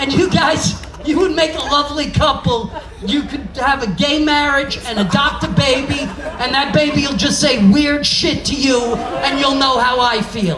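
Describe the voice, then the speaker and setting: The speaker has a New York accent and a moderate pace. Noticeable background noise is present. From New York (Brooklyn). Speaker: stand-up comedian. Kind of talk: stand-up. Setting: stage with audience. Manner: loud, animated.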